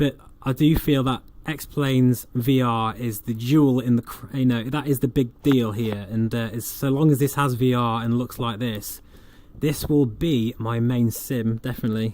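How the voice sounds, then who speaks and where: The speaker has an East Midlands accent and fairly even intonation. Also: man, medium pitch for a man, moderate pace. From England. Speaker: flight sim streamer. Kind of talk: livestream commentary with chat reading. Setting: home livestream. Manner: casual, chatty with fillers.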